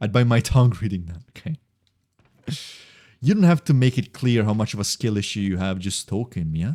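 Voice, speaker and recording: Recorded dry and close with no echo, a man with an Italian accent talks at a fairly low pitch in a dark, mellow tone, fairly quick with lively intonation yet broken by long, frequent pauses. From Italy. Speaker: video game streamer. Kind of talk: casual live-stream commentary. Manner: occasionally stumbling over words.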